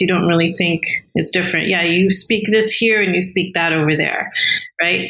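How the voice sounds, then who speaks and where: Amid audible room echo, a woman talks at a medium pitch with ordinary pitch variation. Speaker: regulatory strategy professional. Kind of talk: interview conversation.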